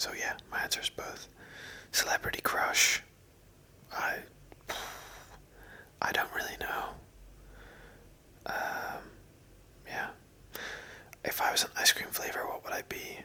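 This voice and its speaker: Amid noticeable background noise, a man whispers at a fairly slow pace with long, frequent pauses. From Northern Ireland. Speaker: ASMR creator. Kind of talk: ASMR Q&A answers to camera. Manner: whispered, soft-spoken.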